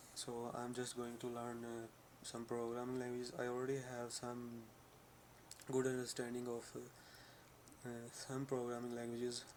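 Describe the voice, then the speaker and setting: Noticeable background noise sits behind a man at medium pitch. He speaks fairly slowly, with monotone, flat intonation. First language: not English. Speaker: vlogger. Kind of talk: personal vlog. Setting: talking to camera. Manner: halting, many fillers.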